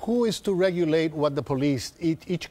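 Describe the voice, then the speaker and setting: A man with a strong Spanish accent at a moderate pace. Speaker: political commentator. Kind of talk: heated debate. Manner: animated.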